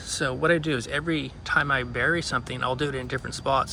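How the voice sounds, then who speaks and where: At a fairly quick pace, a man whispers over noticeable background noise. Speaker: gardening video host. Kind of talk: tutorial. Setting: outdoors at night in a city yard. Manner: whispering; casual, with fillers and restarts.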